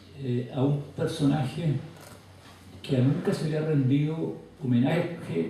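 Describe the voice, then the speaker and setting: Through noticeable background noise and audible room echo, a man with a fairly high pitch and lively intonation talks at a very slow pace with long, frequent pauses. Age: 80s+. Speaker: author and scholar. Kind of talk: lecture.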